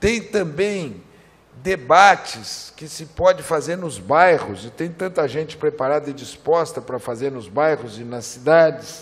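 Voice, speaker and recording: A man with a fairly high pitch speaks at a fairly slow pace, his intonation lively. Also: big swings in loudness. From Brazil. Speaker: federal congressman; politician at a seminar. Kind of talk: political speech. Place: hall. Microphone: podium.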